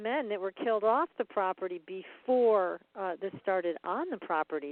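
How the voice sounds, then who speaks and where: This woman has an ordinary speaking voice with medium pitch. She talks at a moderate pace with lively intonation. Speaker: paranormal researcher and radio host. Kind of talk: interview question.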